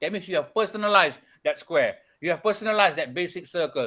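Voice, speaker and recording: With a bright, sharp tone, the voice is raised and projected. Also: man. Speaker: architecture studio tutor. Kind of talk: lecture. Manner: fast; repetitive, stammering restarts.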